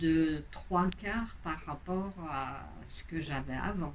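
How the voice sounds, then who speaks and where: A woman speaking at a very slow pace amid audible room echo. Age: 60s. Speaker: patient giving testimonial. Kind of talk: testimony. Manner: halting, many hesitations.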